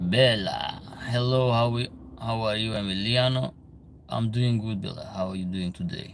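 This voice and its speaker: Music plays in the background and room echo is audible as a man speaks at a medium pitch and moderate pace with fairly even intonation. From Albania. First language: Albanian. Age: 30s. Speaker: livestream host. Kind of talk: casual chat. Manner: halting.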